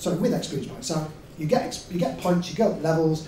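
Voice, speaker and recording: A man talks at a fairly quick pace amid noticeable background noise, with audible echo from the room. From Yorkshire, England. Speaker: game designer. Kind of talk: lecture. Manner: hesitant, with many fillers.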